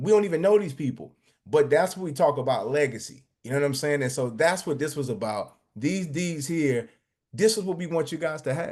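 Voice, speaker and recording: Against a quiet background, a man with an American accent talks at a fairly quick pace in a fairly high, animated voice with lively intonation. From New Jersey. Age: 40s. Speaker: real estate developer and investment presenter. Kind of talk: sales pitch. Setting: live video call. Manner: fast.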